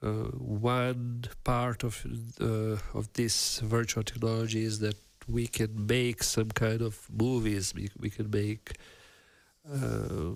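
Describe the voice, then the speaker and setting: Speech comes very slowly. It carries a non-native accent. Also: man, medium pitch for a man, fairly even intonation. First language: not English. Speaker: virtual production artist and stream host. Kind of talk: live workshop stream. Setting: live stream video call. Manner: halting, many fillers.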